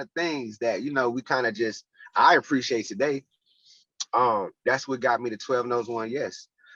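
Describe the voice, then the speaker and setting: A man with an American accent speaks in a plain, everyday voice at medium pitch and a moderate pace, with ordinary pitch variation. The sound is dry and close with no echo, over a quiet background. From North Carolina (Charlotte). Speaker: youth boxing program founder. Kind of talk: podcast interview.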